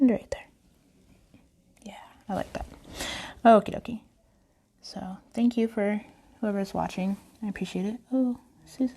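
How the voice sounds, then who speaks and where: A soft-spoken woman talks at a moderate pace with long, frequent pauses. Her voice is fairly high-pitched, somewhat breathy and dark and mellow in tone. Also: fairly even intonation, big swings in loudness. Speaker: face painter. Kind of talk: tutorial.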